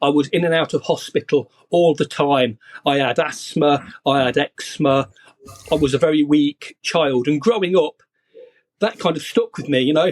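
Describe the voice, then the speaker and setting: In a British accent, a man speaks at a fairly high pitch and moderate pace with ordinary pitch variation, the sound dry and close with no echo. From UK. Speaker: copywriter. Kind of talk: podcast interview.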